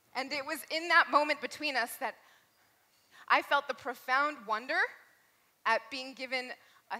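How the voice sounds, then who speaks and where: Raising and projecting her voice, a woman speaks fairly slowly with ordinary pitch variation and long, frequent pauses. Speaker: storyteller. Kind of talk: live storytelling performance. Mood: heartfelt, emotional. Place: hall.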